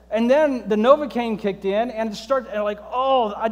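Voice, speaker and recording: This man speaks with a high-pitched voice. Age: 40s. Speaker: pastor. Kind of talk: sermon. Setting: church. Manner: conversational with humor.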